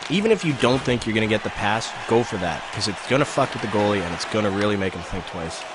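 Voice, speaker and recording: Over crowd noise in the background, a man with a Manitoban accent talks at a very fast pace with hardly any pauses. His voice is fairly low and animated, with ordinary pitch variation. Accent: Canadian (Manitoba). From Canada, Winnipeg. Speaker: video game streamer. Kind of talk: live gameplay commentary. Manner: casual, animated.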